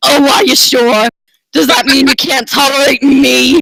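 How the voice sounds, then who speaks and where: An extremely high-pitched, put-on character voice from a man. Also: moderate pace. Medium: read story.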